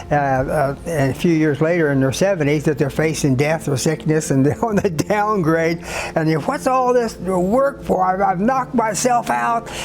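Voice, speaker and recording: A man's pitch swings very widely while his loudness stays very even. Noticeable background noise sits under the recording. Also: fairly high pitch for a man, moderate pace. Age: 80s+. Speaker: author and priest. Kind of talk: interview answer. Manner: hesitant, halting.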